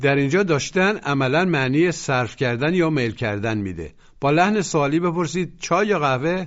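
At a moderate pace and with hardly any pauses, a man with an unremarkable speaking voice talks at a fairly high pitch with lively intonation. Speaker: language course narrator. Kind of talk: scripted language lesson instruction.

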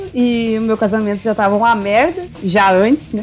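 Noticeable background noise accompanies a woman speaking slowly-ish at a fairly high pitch, her pace fairly slow. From Rio Grande do Sul, Brazil. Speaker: podcast co-host. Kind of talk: casual chat.

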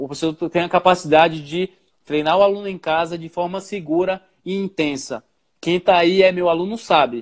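Fairly even intonation and a high pitch mark this man's voice at a moderate pace. The sound is dry and close, with no echo. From Bahia, Brazil. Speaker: personal trainer. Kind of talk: interview.

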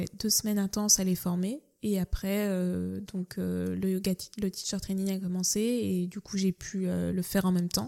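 A woman speaks at a fairly slow pace. The sound is dry and close with no echo, on a very clean recording with a silent background. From France, Nantes. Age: young. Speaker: cook. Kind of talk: casual interview. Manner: hesitant, many fillers.

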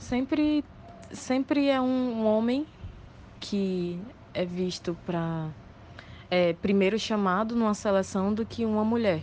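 A woman's fairly high voice with lively intonation, a very slow pace and long, frequent pauses. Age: 20s. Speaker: bartender. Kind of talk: voice message testimony.

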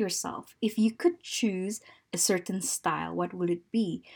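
A woman speaks at a fairly slow pace in a somewhat breathy voice. The recording is very clean, with a silent background. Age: 30s. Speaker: lifestyle podcast host. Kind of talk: personal monologue podcast.

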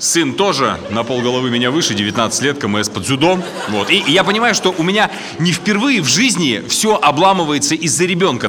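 Over noticeable background noise, a high-pitched man speaks with very wide pitch swings. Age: 30s. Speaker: stand-up comedian. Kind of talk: stand-up.

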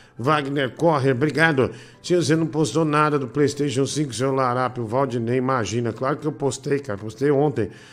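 Delivered at a moderate pace with fairly even intonation, this is an ordinary speaking voice. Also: man, fairly high pitch for a man. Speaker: live show host. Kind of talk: casual live chat.

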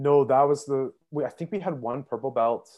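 A man with a Canadian accent and a plain, everyday voice talks at a moderate pace with ordinary pitch variation over a quiet background. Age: 20s. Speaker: social services caseworker. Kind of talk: casual interview.

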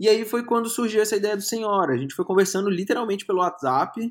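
The recording is very clean with a silent background. A man speaks at a moderate pace in a high voice. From Brazil, Brasília. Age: 30s. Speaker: film critic and journalist. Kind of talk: casual interview.

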